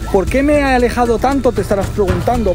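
A man talks at a fairly quick pace, and the sound is dry with no echo. Clear music plays in the background. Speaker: paranormal vlogger. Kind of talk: casual vlog chat. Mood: tense, a little scared. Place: forest. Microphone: phone near.

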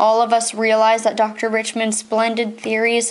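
Simply plain reading aloud.

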